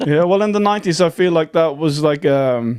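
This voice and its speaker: A man talks with an Irish accent. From Ireland, County Dublin. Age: 40s. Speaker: folk musician. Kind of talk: podcast interview.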